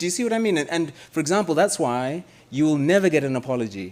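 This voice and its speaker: Lively intonation marks this man's speech. He talks at a fairly quick pace. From Malawi, then India and the US. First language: Chichewa. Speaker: policy researcher and lecturer. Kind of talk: question and answer after a lecture. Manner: hesitant, with many repeated words.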